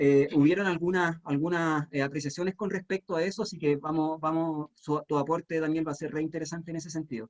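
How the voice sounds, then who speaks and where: A man talks at a fairly quick pace in a Chilean accent, his pitch high and intonation fairly even. The sound is dry and close, with no echo. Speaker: panel moderator. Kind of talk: panel discussion.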